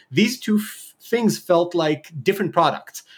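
A man speaks at a moderate pace. The recording is very clean, with a silent background. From Israel. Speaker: filmmaker and startup founder. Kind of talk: podcast interview. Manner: direct, thoughtful.

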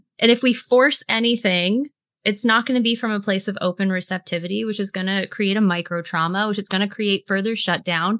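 A woman with an American accent and an unremarkable speaking voice talks at a fairly quick pace and medium pitch, with hardly any pauses. Her intonation is fairly even, and the sound is dry and close with no echo over a quiet background. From US South, South Carolina (Greenville). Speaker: intimacy and pleasure coach. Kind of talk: podcast interview.

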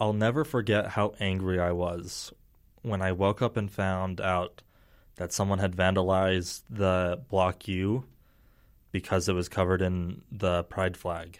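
In a very clean recording with a silent background, a man with a very deep, low voice and an American accent speaks at a fairly slow pace with fairly even intonation. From Utah (Salt Lake area suburbs). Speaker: university student. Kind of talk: casual interview.

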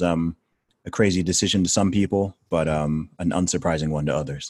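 In a dry, close sound with no echo and a silent background on a very clean recording, a man speaks at a moderate pace with a very deep, low pitch and fairly even intonation. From England, raised partly in Saudi Arabia. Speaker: rapper. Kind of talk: interview conversation. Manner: articulate.

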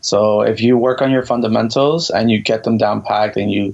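A man with an American accent speaks at a moderate pace and medium pitch, with fairly even intonation. His voice is an unremarkable speaking voice. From Miami, Florida. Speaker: bachata dance instructor. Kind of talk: casual interview.

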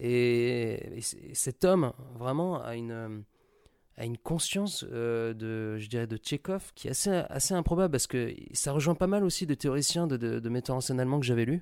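A man of medium pitch talks at a fairly slow pace with lively intonation on a very clean recording with a silent background. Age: 20s. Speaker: actor. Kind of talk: recorded interview. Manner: casual and animated.

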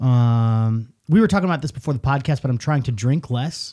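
A man talks at a moderate pace with lively intonation. His medium-pitched voice is somewhat breathy. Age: 30s. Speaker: podcast co-host. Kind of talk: casual chat. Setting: studio.

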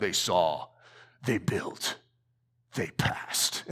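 In a put-on character voice, a man speaks at a fairly low pitch. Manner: dramatic, epic.

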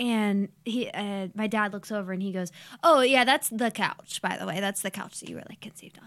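Heard on a very clean recording with a silent background, a woman with a normal speaking voice and fairly high pitch talks at a moderate pace with fairly even intonation. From Ohio, Youngstown. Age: 20s. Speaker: podcast guest. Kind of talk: casual chat.

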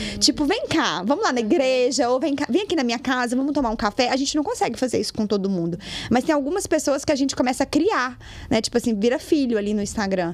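Intonation is lively and the pace very fast. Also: woman, high pitch for a woman. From Brazil, Minas Gerais (Lagoa Santa). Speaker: digital influencer. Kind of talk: casual chat.

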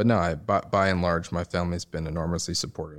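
With a New York accent, a man speaks at a fairly quick pace in a very deep, low pitch, his intonation fairly even, on a very clean recording with a silent background. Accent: New York American. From New York City, Upper East Side. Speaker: investor. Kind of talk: interview. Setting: office.

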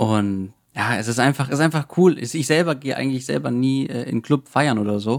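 This man uses a normal speaking voice at a moderate pace. His medium pitch shows ordinary pitch variation. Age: 20s. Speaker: self-publisher and IT consultant. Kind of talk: casual interview.

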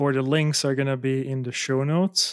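Speaking at a moderate pace with a non-native accent, a man at a medium pitch keeps his intonation fairly even. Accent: foreign-accented English. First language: not English. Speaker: podcast host. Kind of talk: interview.

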